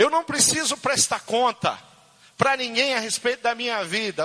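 The voice is raised and projected. Noticeable noise runs in the background. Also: man. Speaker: pastor. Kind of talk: sermon. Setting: church. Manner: halting.

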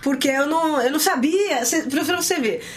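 A woman talks while noticeable noise carries on behind her. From São Paulo city, Brazil. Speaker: worship singer. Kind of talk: interview. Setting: studio.

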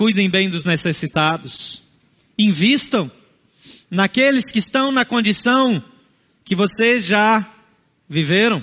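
Very slow, lively intonation with a bright, sharp tone and long, frequent pauses. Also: man, high pitch for a man. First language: a non-Portuguese family language (speaking Portuguese). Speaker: pastor. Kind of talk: sermon.

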